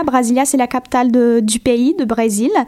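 With noticeable background noise behind her, a woman speaks at a fairly slow pace with a Portuguese accent and a high pitch. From Brazil, Goiás (Goiânia). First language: Portuguese (speaking French). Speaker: graduate student. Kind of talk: radio interview.

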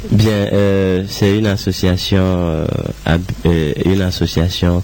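A man talks at a very slow pace with a very deep, low pitch and fairly even intonation. Noticeable background noise runs underneath. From Togo. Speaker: musician. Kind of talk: interview.

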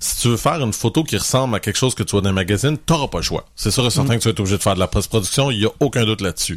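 Very fast and somewhat breathy, a man talks at a medium pitch. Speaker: photography podcast co-host. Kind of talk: casual chat.

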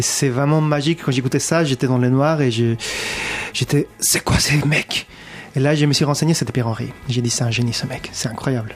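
Noticeable background noise sits behind a man with a fairly high voice talking at a moderate pace. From abroad, not France. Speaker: musician. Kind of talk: interview chat. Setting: studio.

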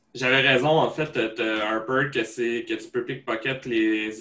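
This man's voice sits at a medium pitch with a bright, sharp tone. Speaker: podcast host. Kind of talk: casual chat.

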